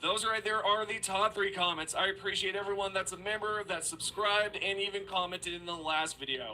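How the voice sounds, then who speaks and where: A man speaks in a raised, projected voice with a high pitch, at a fairly quick pace with hardly any pauses and fairly even intonation. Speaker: gaming YouTuber. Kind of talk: commentary reading viewer comments.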